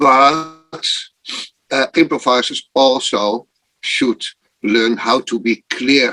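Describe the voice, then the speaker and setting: A man speaks at a very slow pace with long, frequent pauses, at medium pitch with ordinary pitch variation. His bright, sharp tone comes through dry and close with no echo. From Netherlands, Amsterdam. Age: 60s. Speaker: improv performer. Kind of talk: casual chat.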